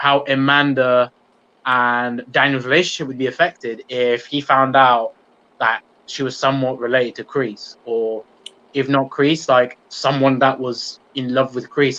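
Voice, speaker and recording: A moderate pace in a British accent with monotone, flat intonation. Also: man. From UK. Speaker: YouTube channel host, TV show fan commentator. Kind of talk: live-stream Q&A chat.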